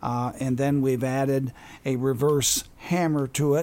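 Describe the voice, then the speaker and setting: In an American accent, a man with an unremarkable speaking voice talks at a fairly slow pace and a medium pitch. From Wisconsin. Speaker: accordion player. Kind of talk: casual chat.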